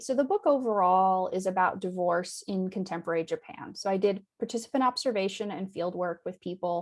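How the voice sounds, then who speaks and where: A woman speaks with lively intonation in a plain, everyday voice. Her pitch is medium, her pace moderate, and she has an American accent. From United States. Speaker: anthropologist, university academic. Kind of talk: academic lecture over video call. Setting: video call. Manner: conversational with frequent fillers (um).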